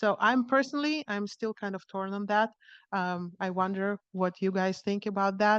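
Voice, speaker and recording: The speaker has a non-native accent, recorded with a dry, close sound with no echo against a quiet background. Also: woman, medium pitch for a woman, ordinary pitch variation, moderate pace. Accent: foreign. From outside the US. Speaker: radiologist giving invited talk. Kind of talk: conference lecture. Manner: hesitant, many fillers and restarts.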